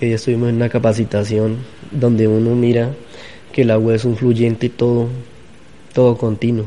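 A man with a medium-pitched voice talks at an even, moderate speed, his intonation flat and monotone. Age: 30s. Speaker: farmer. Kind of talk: interview testimony.

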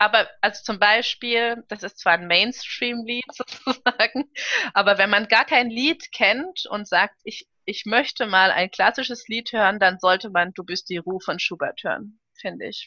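A woman with a normal speaking voice talks at a fairly slow pace in a fairly high pitch, with ordinary pitch variation and big swings in loudness. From Karlsruhe, Germany. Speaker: opera and concert singer. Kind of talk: casual interview.

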